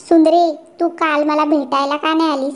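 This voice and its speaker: This woman does a cartoonish character voice pitched high. She keeps a moderate pace and a flat, monotone intonation. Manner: comic overacting.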